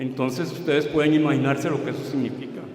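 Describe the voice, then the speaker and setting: Amid audible room echo and noticeable background noise, a man with a fairly high pitch talks at a fairly quick pace with fairly even intonation. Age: 60s. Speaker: former evangelical pastor. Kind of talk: testimony.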